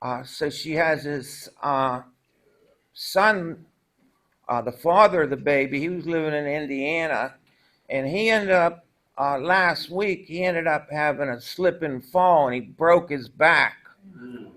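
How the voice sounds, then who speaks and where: A man with a fairly high pitch and a bright, sharp tone speaks at a fairly slow pace with ordinary pitch variation, on a very clean recording with a silent background. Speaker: recovery speaker. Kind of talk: testimony. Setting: stage with audience.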